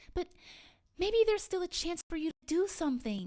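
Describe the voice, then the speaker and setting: A woman puts on a squeaky character voice at an extremely high pitch. She talks at a fairly quick pace with lively intonation. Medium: solo performance. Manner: warm, eager.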